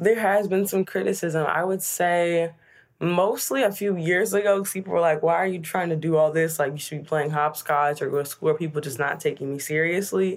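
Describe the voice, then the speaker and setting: A woman speaks in an ordinary speaking voice with a fairly low pitch and ordinary pitch variation. Her pace is fairly quick, and the recording is very clean with a silent background. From US Midwest, Chicago area. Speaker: student activist and inventor. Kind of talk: interview.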